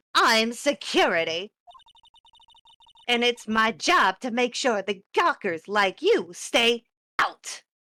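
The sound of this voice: Using a put-on character voice, a woman speaks in a shrill, fairly high pitch. Her delivery is very slow, with long, frequent pauses.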